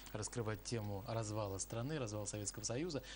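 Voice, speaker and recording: A man's fairly low, somewhat breathy voice at a very fast pace, with light background noise. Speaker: TV host. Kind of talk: live TV interview. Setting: studio. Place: studio.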